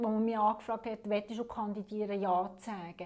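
At a moderate pace, a woman talks in a fairly high voice with monotone, flat intonation. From Switzerland, canton of Fribourg (German-speaking). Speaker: municipal councillor. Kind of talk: interview.

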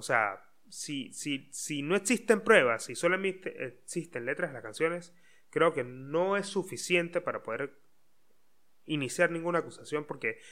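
Over a silent background in a very clean recording, a man with a fairly high, bright, sharp voice speaks fairly slowly with lively intonation. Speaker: podcast host. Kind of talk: solo podcast monologue. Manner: hesitant, many fillers.

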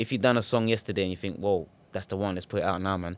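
Very clean recording with a silent background of a man speaking at a fairly low pitch. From Ghanaian heritage, raised in UK. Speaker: musician and podcast host. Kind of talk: casual monologue. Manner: animated.

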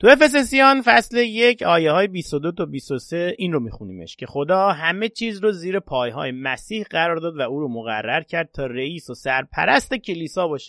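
Speaking at a moderate pace with hardly any pauses, a man uses a high pitch with very wide pitch swings. The background is quiet, and the sound is dry and close with no echo. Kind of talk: religious podcast talk with prayers.

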